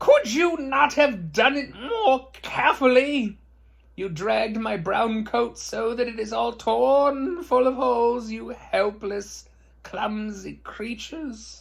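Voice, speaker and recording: A man puts on a character voice, shrill and extremely high in pitch. He speaks at a fairly slow pace. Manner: angry, scolding.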